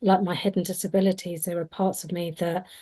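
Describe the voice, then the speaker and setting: A woman's fairly low voice, dark and mellow in tone, with monotone, flat intonation. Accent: British. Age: 50s. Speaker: panelist, advocate. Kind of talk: panel discussion. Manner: hesitant, many fillers.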